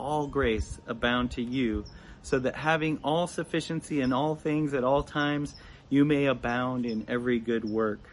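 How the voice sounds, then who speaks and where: Speaking at a moderate pace, a man uses a normal speaking voice at a medium pitch. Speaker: church member leading offering. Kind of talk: devotional talk.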